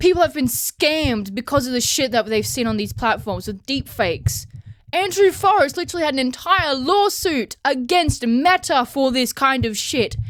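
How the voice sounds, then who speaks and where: A woman with an Australian accent talks at a moderate pace in a high voice, her pitch swinging very widely. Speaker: vlogger. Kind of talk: casual rant. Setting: home, handheld recording. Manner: loud; animated.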